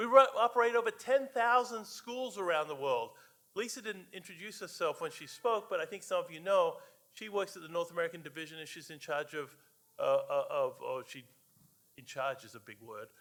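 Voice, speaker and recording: Speaking at a fairly quick pace in a high pitch, a man has lively intonation and big swings in loudness. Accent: Australian. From Australia. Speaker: guest preacher, church advocate. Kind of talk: sermon. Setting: church. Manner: halting, many fillers.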